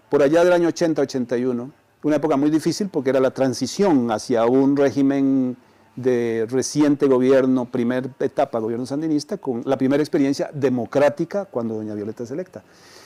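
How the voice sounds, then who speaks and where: Fairly quick in pace, a man talks at a medium pitch with a dark, mellow tone and ordinary pitch variation. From Costa Rica, Central Valley. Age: 60s. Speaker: retired journalist. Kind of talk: interview conversation. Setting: restaurant.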